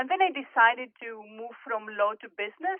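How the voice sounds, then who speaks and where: Speaking at a moderate pace, a woman with a Greek accent has a fairly high pitch. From Greece, Athens. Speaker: corporate executive and board director. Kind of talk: podcast interview.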